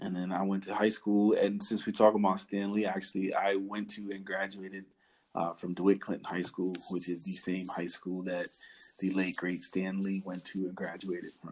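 This man has a very deep, low voice and a New York accent. He talks at a moderate pace in a monotone, flat intonation. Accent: New York accent, noticeable. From New York City (Harlem, Bronx). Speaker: podcast guest. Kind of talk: casual chat.

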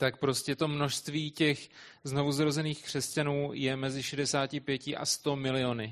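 A man talks at a fairly slow pace in a fairly high voice with monotone, flat intonation. The background is quiet. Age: young. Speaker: interpreter. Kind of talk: consecutive interpreting of a sermon.

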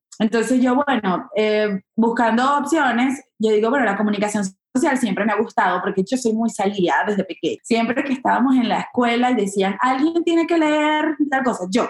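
At a moderate pace, the speaker talks with lively intonation, very even loudness and hardly any pauses. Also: woman, fairly high pitch for a woman. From Venezuela (Maracay). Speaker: comedian and actress. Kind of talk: interview conversation.

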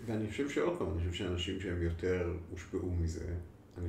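A man's very deep, low voice sounds dark, mellow and somewhat breathy, with audible room echo. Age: 50s. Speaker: clinical psychologist. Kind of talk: interview.

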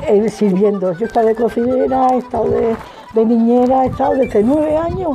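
Noticeable background noise sits behind a woman with a fairly high pitch. She speaks at a fairly quick pace with ordinary pitch variation. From Badajoz, Extremadura. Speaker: widow interviewee. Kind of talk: casual interview.

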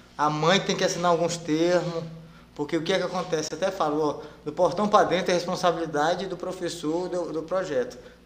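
With audible room echo, a man speaks high and fairly quickly in a monotone, flat delivery. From Pará, Brazil, raised in Rondônia from age 8. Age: 40s. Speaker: jiu-jitsu instructor and world champion. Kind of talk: casual interview chat. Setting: studio, live stream.

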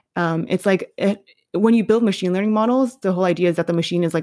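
A woman speaks at a fairly low pitch with fairly even intonation. The sound is dry and close with no echo, on a very clean recording with a silent background. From New York City. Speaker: curriculum developer. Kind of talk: interview. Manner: casual, many fillers.

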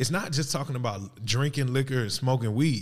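A man talks at a moderate pace in a medium pitch. His voice is somewhat breathy, with ordinary pitch variation. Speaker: podcast host. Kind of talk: casual banter podcast chat. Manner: teasing, playful.

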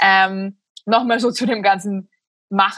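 Her fairly high voice shows ordinary pitch variation as this woman talks. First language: Slovak (speaking German). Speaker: writer and essayist. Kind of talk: casual interview chat.

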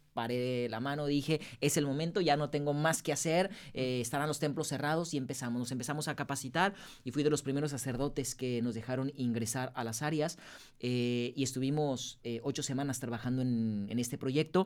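On a very clean recording with a silent background, a man with a plain, everyday voice speaks at a fairly quick pace in a medium pitch with fairly even intonation. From Mexico, Guadalajara. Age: 30s. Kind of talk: interview.

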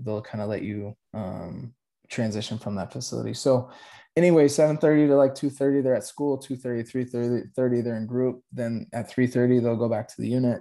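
A man with an American accent talks at a moderate pace and medium pitch, with ordinary pitch variation and a dark, mellow tone. The recording is very clean, with a silent background. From Colorado, Aurora. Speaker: youth worker and chaplain. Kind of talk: interview conversation.

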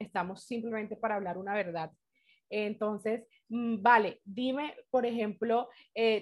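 Speaking fairly slowly, a woman uses an unremarkable speaking voice, fairly high in pitch with ordinary pitch variation. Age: 20s. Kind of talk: casual faith-based talk with teen girls.

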